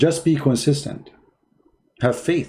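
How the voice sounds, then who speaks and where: A man's dark, mellow, somewhat breathy voice. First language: Arabic. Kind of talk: casual livestream chat, mocking and motivational. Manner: animated, sarcastic.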